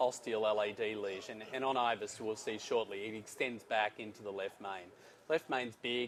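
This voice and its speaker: A man with an Australian accent speaks at medium pitch and a moderate pace. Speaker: interventional cardiologist. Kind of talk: live case presentation.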